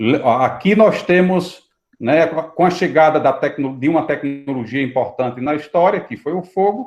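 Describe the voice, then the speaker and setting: A man with a fairly high pitch talks fairly slowly, his intonation lively. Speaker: priest and online course teacher. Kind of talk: live online lecture. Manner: soft-spoken.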